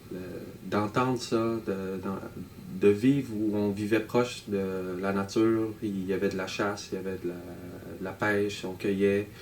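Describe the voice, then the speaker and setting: With a northern Canadian accent, the speaker talks in a flat, monotone way with long, frequent pauses, over noticeable background noise and audible room echo. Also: man, fairly low pitch for a man. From Nunavut, Canada. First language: Inuktitut (speaking French). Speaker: electronic musician and artist. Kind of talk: interview monologue. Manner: halting, many hesitations.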